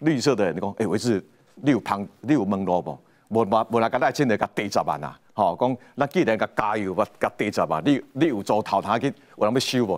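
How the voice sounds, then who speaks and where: A man with a plain, everyday voice, fairly low in pitch, lively in intonation and fairly quick in pace, on a very clean recording with a silent background. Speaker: political commentator. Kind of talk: panel discussion.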